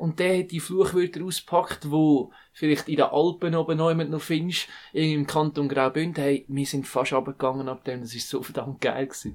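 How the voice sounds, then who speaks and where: This is a man with an ordinary speaking voice, fairly high in pitch, at a moderate pace. The intonation is fairly even, and the recording is very clean with a silent background. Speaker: podcast co-host. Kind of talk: casual chat.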